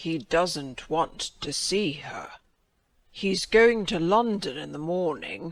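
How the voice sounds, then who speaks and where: A man does a husky, put-on character voice in a high pitch, with lively intonation and big swings in loudness. He speaks at a very slow pace. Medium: read story.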